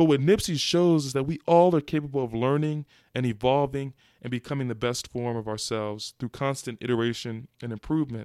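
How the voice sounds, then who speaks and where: A man talks at a fairly quick pace in a dark, mellow tone. The sound is dry and close, with no echo. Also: medium pitch for a man, ordinary pitch variation, very clean recording, silent background. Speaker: podcast host. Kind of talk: solo podcast rant, opinionated commentary. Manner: impassioned, fervent, emphatic with building intensity; fluent, articulate, polished delivery.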